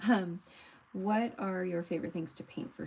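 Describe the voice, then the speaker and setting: At a moderate pace, a soft-spoken woman with an American accent talks in a dark, mellow tone with vocal fry and lively intonation. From US East Coast. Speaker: digital artist streamer. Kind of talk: casual livestream chat while drawing. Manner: halting.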